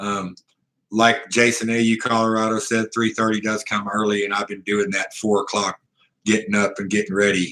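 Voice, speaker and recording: Speaking in a medium pitch with an American accent, a man delivers monotone, flat intonation in a bright, sharp tone. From US South, Ozark Mountains. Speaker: live streamer, coin collector. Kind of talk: casual live-stream chat. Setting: motel room.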